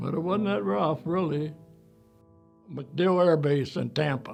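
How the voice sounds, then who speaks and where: Music plays behind a man with a fairly high pitch. He speaks at a fairly slow pace. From Pennsylvania, Chambersburg. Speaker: war veteran. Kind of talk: interview.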